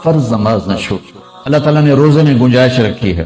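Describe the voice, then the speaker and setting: Lively intonation marks this man's ordinary speaking voice at a medium pitch. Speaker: Islamic preacher giving a sermon. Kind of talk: Islamic sermon (bayan) to an audience.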